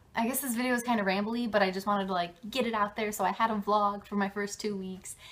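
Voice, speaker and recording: A woman at a very fast pace, in a monotone, flat intonation. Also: medium pitch for a woman. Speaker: vlogger, theme park college program intern. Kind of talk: casual vlog.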